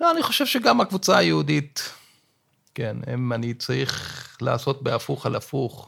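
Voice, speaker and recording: A man at a moderate pace, with long, frequent pauses. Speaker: law professor. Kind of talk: interview discussion.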